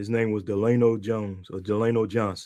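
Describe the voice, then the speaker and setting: A man with an American accent has a dark, mellow tone. His medium-pitched delivery is monotone and flat. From Michigan, Saginaw. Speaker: podcast host, basketball coach. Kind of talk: casual interview chat. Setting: live stream.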